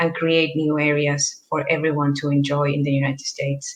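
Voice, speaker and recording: A woman with a very deep, low voice talks at a fairly quick pace. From northern Chile. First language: Spanish. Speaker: land conservation program worker. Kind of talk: panel presentation.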